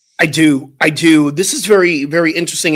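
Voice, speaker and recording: This man has an ordinary speaking voice, talking at a moderate pace with fairly even intonation. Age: 60s. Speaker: minister and talk show co-host. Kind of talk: casual chat.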